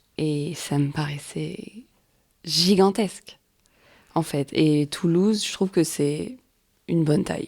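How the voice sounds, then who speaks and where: A woman speaks at a very slow pace in a very deep, low pitch with ordinary pitch variation. Her pauses are long and frequent. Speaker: poet and performer. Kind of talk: casual interview chat. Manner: hesitant, many fillers.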